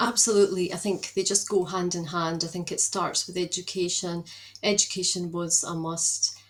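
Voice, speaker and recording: A woman speaks in a Scottish accent at a fairly low pitch, her intonation monotone and flat. Background noise is noticeable. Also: moderate pace. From Scotland, Edinburgh. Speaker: productivity mentor. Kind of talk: podcast interview. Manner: hesitant, many fillers.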